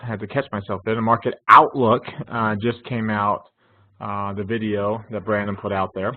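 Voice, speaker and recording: A man talks with a slight Texas accent. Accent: Texas drawl, slight. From North Texas (Denton). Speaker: finance instructor. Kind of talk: online class lecture. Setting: live webinar with chat. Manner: casual, conversational with fillers.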